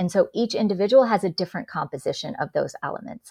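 With an ordinary speaking voice, a woman talks at a moderate pace and medium pitch, using ordinary pitch variation. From US, born in India. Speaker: executive coach and author. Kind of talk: podcast interview.

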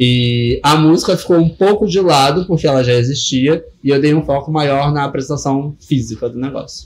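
Somewhat breathy and fairly high-pitched, a man speaks at a moderate pace with ordinary pitch variation and hardly any pauses. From Rio de Janeiro, West Zone. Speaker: DJ and drag performer. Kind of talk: casual interview.

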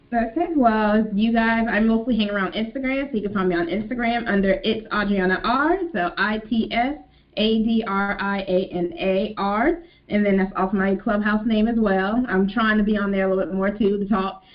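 A woman's normal speaking voice, fairly high in pitch, at a moderate pace with ordinary pitch variation. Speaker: business manager and entrepreneur. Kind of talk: panel discussion. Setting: video call.

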